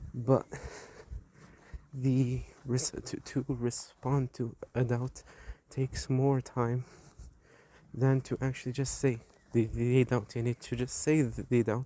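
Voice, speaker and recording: At a very slow pace with long, frequent pauses, a man speaks in a monotone, flat intonation, his medium pitch carrying a dark, mellow tone. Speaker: Islamic preacher. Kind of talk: religious rebuttal talk. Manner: halting.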